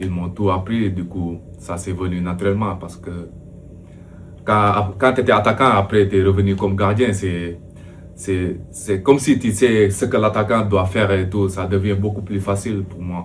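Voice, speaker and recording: The speech moves at a fairly slow pace with fairly even intonation, amid noticeable background noise and audible room echo. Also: man, fairly low pitch for a man. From Senegal. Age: 30s. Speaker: professional football goalkeeper. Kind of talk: interview. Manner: hesitant, many fillers.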